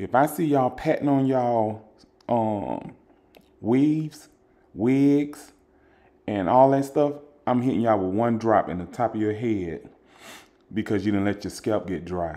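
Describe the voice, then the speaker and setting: A man's medium-pitched, dark and mellow voice with lively intonation, at a fairly slow pace with long, frequent pauses. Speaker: father doing a voice-over for his daughter's video. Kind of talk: casual, joking commentary talking over a video. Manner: chatty, humorous, rambling.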